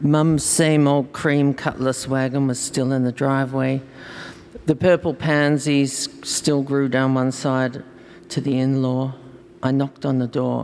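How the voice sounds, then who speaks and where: Here, a woman with an Australian accent has a very deep, low pitch. Her intonation is monotone and flat, and her pace fairly slow. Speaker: fiction writer. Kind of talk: reading aloud.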